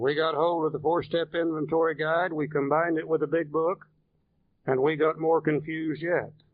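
The man's voice is fairly high and his intonation monotone and flat. He keeps a moderate pace. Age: 70s. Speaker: AA workshop presenter, recovering alcoholic. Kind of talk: workshop lecture.

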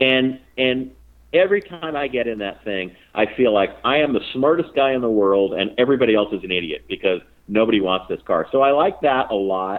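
At a fairly quick pace, a man with an unremarkable speaking voice talks at medium pitch with lively intonation. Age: 50s. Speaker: racing series founder and journalist. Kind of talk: casual interview. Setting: phone call.

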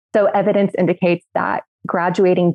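An American accent marks this woman's speech, which carries vocal fry. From Texas (Midland). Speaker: human rights advocacy director. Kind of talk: podcast panel discussion.

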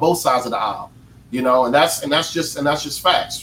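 Noticeable background noise sits behind a man speaking at a very fast pace. His pitch is fairly high, with ordinary pitch variation. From North Carolina. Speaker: politician and veteran. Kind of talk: panel discussion.

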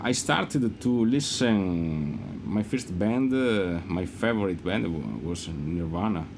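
With an Italian accent, a man with a fairly low pitch talks at a very slow pace and lively intonation amid audible room echo. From Italy. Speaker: rock guitarist. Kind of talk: casual interview chat. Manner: halting, many fillers.

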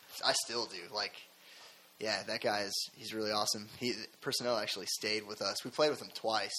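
An ordinary speaking voice from a fairly low-pitched man, in an American accent with fairly even intonation. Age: 20s. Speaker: rock band musician. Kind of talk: casual interview. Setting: studio.

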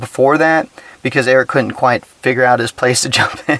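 This man has an ordinary speaking voice with an American accent, a medium pitch, and fairly even intonation. He speaks at a fairly quick pace, and the sound is dry and close with no echo. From Texas. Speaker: podcast host. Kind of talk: casual solo commentary. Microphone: cheap recording gear.

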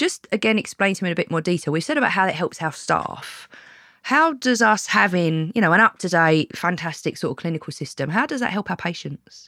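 With a British accent, a woman speaks in a fairly low, bright, sharp voice with lively intonation. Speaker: podcast host. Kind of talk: casual interview chat.

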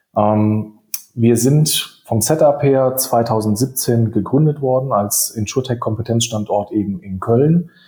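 The speaker is a man with a medium pitch. His pace is very slow. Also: ordinary pitch variation. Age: 30s. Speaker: insurtech hub managing director. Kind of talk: podcast interview. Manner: fluent, articulate.

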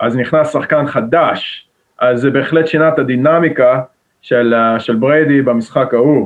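A man with a plain, everyday voice talks at a moderate pace, his pitch fairly high, his intonation fairly even and his loudness very even. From Israel, Jerusalem. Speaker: college football player. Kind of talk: casual interview.

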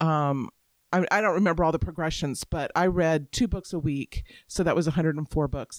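A woman with a normal speaking voice talks at a moderate pace, fairly low in pitch with ordinary pitch variation. The recording is very clean, dry and close with no echo, over a silent background. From Florida, Tampa Bay area. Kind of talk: casual book discussion.

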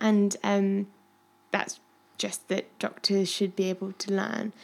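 The woman speaks in an English Midlands accent at a medium pitch. Her pace is fairly slow. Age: 20s. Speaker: medical student and podcast host. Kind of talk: interview, casual chat. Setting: at home with her dog.

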